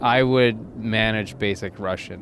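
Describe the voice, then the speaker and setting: A man speaks very slowly while noticeable noise fills the background. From India. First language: Hindi or Marathi. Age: 30s. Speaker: engineer. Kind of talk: casual chat. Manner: hesitant, many fillers.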